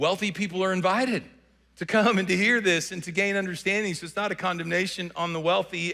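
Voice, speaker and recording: A man talks at a very fast pace in a Southern US accent. His voice is high-pitched, with a bright, sharp tone. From US South. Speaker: pastor. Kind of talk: sermon. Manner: repetitive false starts.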